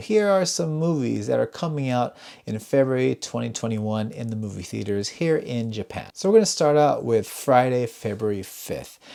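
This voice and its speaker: A man's dark, mellow tone with very wide pitch swings and hardly any pauses, on a very clean recording with a silent background. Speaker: movie reviewer. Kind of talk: casual video talk. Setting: home at night. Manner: quiet, voice kept down.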